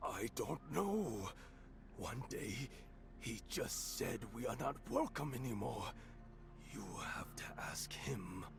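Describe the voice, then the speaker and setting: A man whispering in a put-on character voice at a fairly slow pace, with long, frequent pauses over loud background noise. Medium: video game. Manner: solemn, pious.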